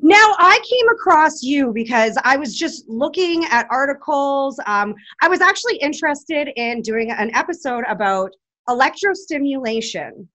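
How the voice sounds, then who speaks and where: Projecting a raised voice, a woman with a high pitch moves through very wide pitch swings. She keeps a moderate pace over a quiet background. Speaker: podcast co-host. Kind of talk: casual interview chat.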